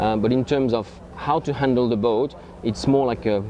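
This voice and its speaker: In a French accent, a man speaks with fairly even intonation over noticeable background noise. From France. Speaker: yacht owner and boat promoter. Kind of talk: interview. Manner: halting.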